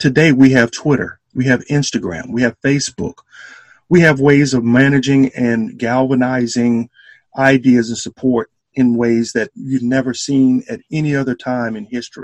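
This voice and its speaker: In an Alabama accent, a man of medium pitch speaks at a moderate pace with fairly even intonation, the sound dry and close with no echo. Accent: Southern US (Alabama). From US South, Selma, Alabama. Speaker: historian and entrepreneur. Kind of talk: interview. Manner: halting, many fillers.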